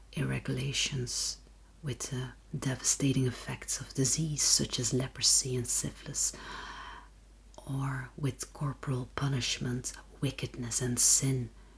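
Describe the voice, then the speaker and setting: Someone whispers at a fairly slow pace. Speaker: ASMR reader. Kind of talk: whispered ASMR book reading. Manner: whispered.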